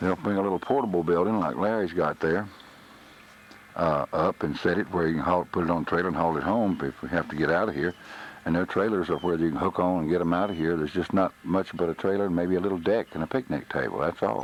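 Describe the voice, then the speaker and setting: A man with a Texas accent talks at a very fast pace. His pitch is very deep and low, with ordinary pitch variation. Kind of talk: home video narration. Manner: subdued.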